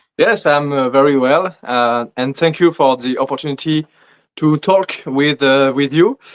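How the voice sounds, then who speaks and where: A man talks with a non-native accent at a fairly slow pace. His pitch is fairly high, with ordinary variation. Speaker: bodybuilder. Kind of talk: interview answers. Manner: halting, many fillers.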